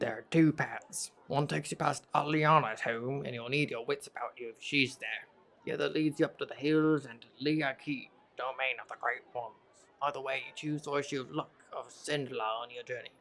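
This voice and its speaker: A man's put-on character voice, gravelly and fairly high-pitched, at a moderate pace with fairly even intonation. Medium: actual play. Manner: knowing, conspiratorial.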